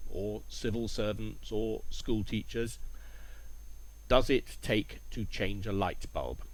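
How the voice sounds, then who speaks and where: A man at a very slow pace, with audible room echo. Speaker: English teacher. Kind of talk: language lesson narration. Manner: clear.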